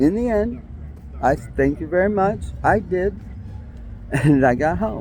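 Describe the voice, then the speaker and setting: A somewhat breathy man with an American accent, fairly high pitch and very wide pitch swings, at a fairly slow pace with long, frequent pauses. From New York City (Brooklyn). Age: 60s. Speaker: vlogger. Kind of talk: personal monologue.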